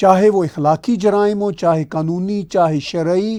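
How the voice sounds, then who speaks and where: The speaker is a man with a high pitch. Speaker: political commentator. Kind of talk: video commentary monologue.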